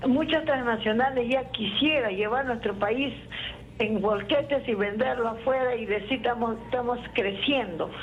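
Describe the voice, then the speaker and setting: A woman talks at a fairly slow pace in a fairly high pitch, with ordinary pitch variation. The recording has audible room echo and noticeable background noise. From Andean Peru. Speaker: caller. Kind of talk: call-in opinion. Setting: phone call. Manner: forceful.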